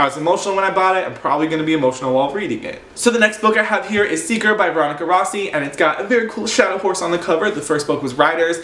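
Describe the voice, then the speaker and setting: A man talks in an animated tone with ordinary pitch variation, over noticeable background noise and audible room echo. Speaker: book vlogger. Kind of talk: casual chat. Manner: fast.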